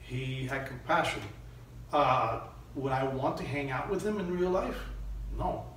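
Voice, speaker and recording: Light background noise and audible room echo around a man's speech. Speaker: actor being interviewed. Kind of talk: interview answer. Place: meeting room. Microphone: camera far.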